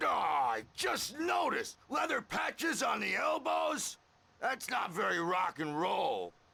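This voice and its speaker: A man shouting in a put-on character voice, high-pitched, at a fairly slow pace. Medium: video game. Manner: gruff, salty.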